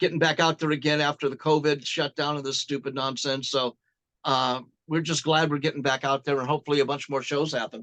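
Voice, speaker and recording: The speaker has an American accent and talks at a fairly quick pace in a flat monotone. The tone is bright and sharp, and the sound is dry and close with no echo. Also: man, fairly high pitch for a man. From Glendale, California. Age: 60s. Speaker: rock musician. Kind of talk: casual interview chat.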